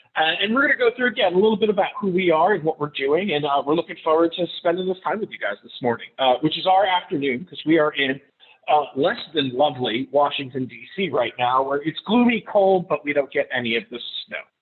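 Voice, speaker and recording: Lively intonation marks this man's fairly high-pitched voice. His pace is fairly quick. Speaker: public relations consultant. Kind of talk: presentation. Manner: fast; loud.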